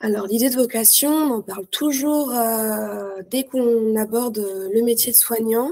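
A woman speaks at a high pitch with ordinary pitch variation. Her tone is dark and mellow. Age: 20s. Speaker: nurse. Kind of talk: interview. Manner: hesitant.

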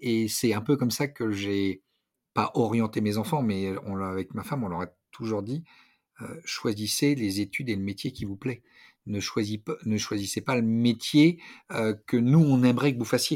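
The background is silent in this very clean recording. A man talks at a medium pitch, his pitch varying in an ordinary way. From Brittany, France. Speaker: naval officer and fighter pilot. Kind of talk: interview. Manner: halting.

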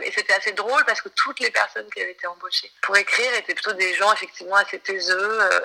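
Speaking at a very fast pace with hardly any pauses, a woman is heard over noticeable background noise. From France, Marseille. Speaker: songwriter and novelist. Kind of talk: interview.

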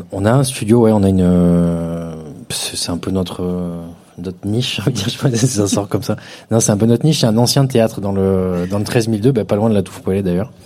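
A man at a fairly low pitch with ordinary pitch variation and a moderate pace, amid noticeable background noise. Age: 30s. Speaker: DJ. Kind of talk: live podcast interview. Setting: stage with live audience.

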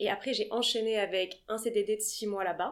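A woman speaks with a fairly high pitch and fairly even intonation in an ordinary speaking voice. The recording is very clean, with a silent background. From Paris, France. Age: 20s. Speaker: art agency founder. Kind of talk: interview.

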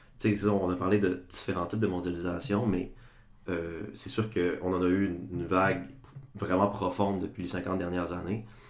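With audible room echo, a man speaks in a very deep, low voice and fairly even intonation. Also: moderate pace. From Quebec, Saguenay (Chicoutimi). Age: 20s. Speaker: political science student. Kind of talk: casual podcast discussion.

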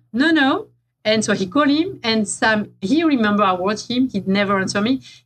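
A woman talks at a fairly quick pace in a fairly high, somewhat breathy voice with a French accent. Her intonation is lively and her loudness very even. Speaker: veterinarian and free diving researcher. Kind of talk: casual interview chat. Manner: animated storytelling.

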